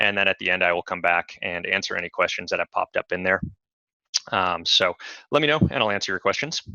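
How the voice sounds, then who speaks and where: Very fast speech from a man with a fairly low pitch and a bright, sharp tone. The sound is dry and close with no echo, over a quiet background. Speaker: software support specialist hosting webinars. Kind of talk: webinar tutorial. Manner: many fillers, casual.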